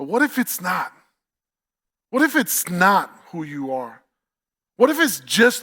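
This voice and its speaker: A man with a New York accent and a bright, sharp tone, at a very slow pace, on a very clean recording with a silent background. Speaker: campus pastor. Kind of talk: sermon. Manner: animated.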